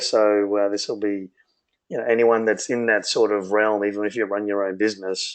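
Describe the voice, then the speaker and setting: This man has an Australian accent. His intonation is monotone and flat. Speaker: business consultant, co-founder. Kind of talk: webinar presentation.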